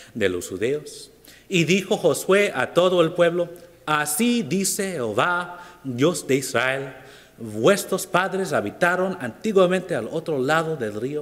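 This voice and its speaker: With an English accent, a man talks at a fairly slow pace amid audible room echo. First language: English (speaking Spanish). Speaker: preacher. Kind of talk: sermon. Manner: halting.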